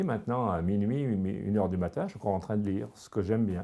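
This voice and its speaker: Very fast speech comes from a man with a dark, mellow tone, a fairly low pitch and ordinary pitch variation. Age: 70s. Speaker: senior exercise class participant. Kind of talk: testimony. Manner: halting.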